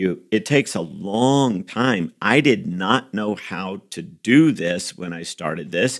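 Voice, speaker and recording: Speaking very slowly with hardly any pauses, a man uses a fairly low pitch and lively intonation, his loudness swinging widely. The recording is very clean, with a silent background. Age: 50s. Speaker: lead pastor. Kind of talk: casual chat.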